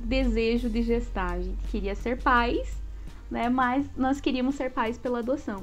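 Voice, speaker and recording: Over faint background music, a woman with a high pitch speaks at a fairly slow pace. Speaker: interviewee. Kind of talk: interview answer. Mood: cheerful, laughing often. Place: home room. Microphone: earbuds.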